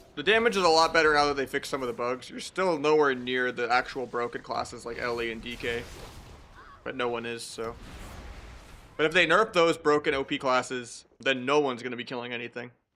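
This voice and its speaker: Talking at a fairly quick pace, a man uses a medium pitch with ordinary pitch variation and a bright, sharp tone. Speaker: video game streamer. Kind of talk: casual chat. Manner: fast.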